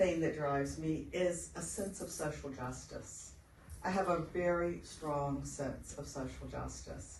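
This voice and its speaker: Noticeable background noise under speech at a fairly slow pace. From outside Australia. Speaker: health researcher. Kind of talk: seminar interview on stage. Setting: stage with audience. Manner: animated.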